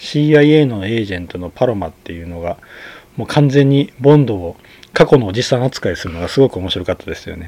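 In a dark, mellow, relaxed tone, the voice moves at a fairly quick pace with big swings in loudness. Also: man, medium pitch for a man. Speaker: podcast host, film reviewer. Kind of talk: solo monologue film review. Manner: relaxed, frequent fillers and laughs.

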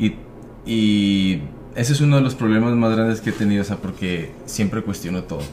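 A man with an ordinary speaking voice, fairly low pitch, ordinary pitch variation and a moderate pace. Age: 30s. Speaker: baseball player. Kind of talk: casual chat. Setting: studio.

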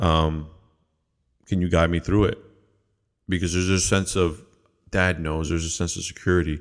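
A man speaks in a very deep, low voice with monotone, flat intonation at a moderate pace. Long, frequent pauses break up his speech on a very clean recording with a silent background. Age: 30s. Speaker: podcast host and pastor. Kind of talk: solo podcast monologue. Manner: halting, many fillers and repetitions.

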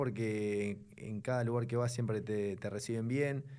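A man speaks at a fairly slow pace in a dark, mellow tone, with audible echo in the room. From Buenos Aires, Argentina. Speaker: racing driver. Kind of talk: casual interview.

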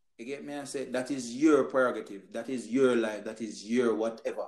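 A man's plain, everyday voice at medium pitch, moderate pace and ordinary pitch variation. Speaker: podcast host. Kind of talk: casual chat.

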